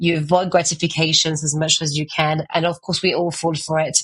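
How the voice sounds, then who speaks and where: Her pitch is very deep and low. The woman speaks in a monotone, flat intonation. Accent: strong French. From France. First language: French. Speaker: author and art agency founder. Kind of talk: podcast interview. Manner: fast.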